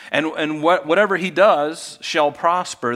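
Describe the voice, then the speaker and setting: A man is the one talking. Behind him there is music in the background. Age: 50s. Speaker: pastor. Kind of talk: sermon.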